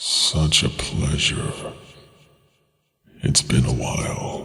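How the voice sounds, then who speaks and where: A man's put-on character voice, growling, very deep and low, at a very slow pace. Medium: read story. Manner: mocking, menacing, amused.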